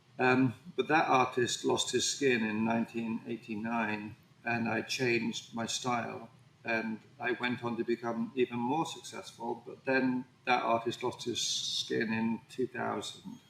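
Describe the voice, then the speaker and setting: A man with an English accent, medium pitch and fairly even intonation at a fairly slow pace, amid noticeable background noise. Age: 60s. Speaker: painter. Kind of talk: interview conversation.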